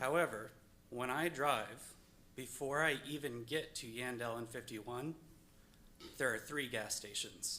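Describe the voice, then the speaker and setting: With a bright, sharp tone and medium pitch, a man talks at a fairly slow pace with fairly even intonation and long, frequent pauses. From northern US. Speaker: resident speaking at public hearing. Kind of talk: public comment at zoning meeting. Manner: hesitant, with fillers.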